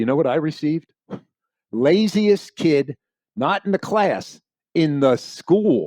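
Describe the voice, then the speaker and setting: A man with an American accent speaks very slowly at a fairly high pitch, with lively intonation, a dark, mellow tone, long, frequent pauses and a dry, close sound with no echo. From Pennsylvania. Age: 70s. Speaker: amputee athlete and public speaker. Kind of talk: casual interview.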